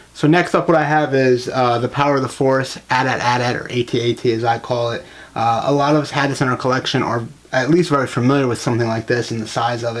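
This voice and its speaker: Speaking very fast, a man uses a medium pitch and fairly even intonation. Noticeable background noise runs underneath. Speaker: toy collector YouTuber. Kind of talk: casual video review. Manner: hesitant, filler-heavy.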